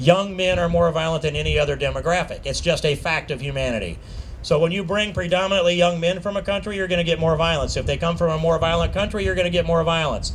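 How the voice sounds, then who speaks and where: Delivered at a very fast pace with fairly even intonation, this voice with an American accent sits over noticeable background noise. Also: man, high pitch for a man. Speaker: congressman / politician. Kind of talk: political rally speech.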